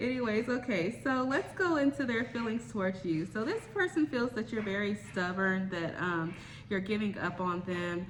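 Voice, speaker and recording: A woman talks with lively intonation and hardly any pauses. Noticeable background noise is present. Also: medium pitch for a woman, moderate pace. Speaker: tarot reader. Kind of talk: tarot reading monologue. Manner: hesitant with many fillers.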